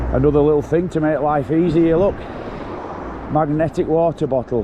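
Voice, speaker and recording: Noticeable background noise sits behind a man with a Yorkshire accent and a fairly high pitch. His intonation is fairly even and his loudness very even. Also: moderate pace. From Yorkshire, England. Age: 60s. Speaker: mountain bike vlogger. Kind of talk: casual vlog narration while riding. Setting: outdoors on a bike ride.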